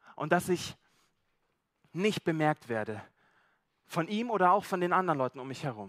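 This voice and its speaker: Lively intonation marks this male voice. He keeps a moderate pace. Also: dry, close sound with no echo. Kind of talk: sermon with role-play storytelling. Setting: church. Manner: first-person storytelling as Zachaeus, animated, conversational and vivid; relaxed, informal, slightly halting with repeated words.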